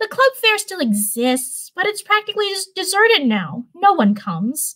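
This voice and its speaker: Putting on a character voice, a woman speaks at a moderate pace in an extremely high pitch. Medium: read story. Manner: energetic, gushing.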